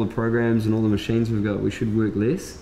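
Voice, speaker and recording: Light background noise runs under a man talking at a very fast pace. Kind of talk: casual conversation. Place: shop.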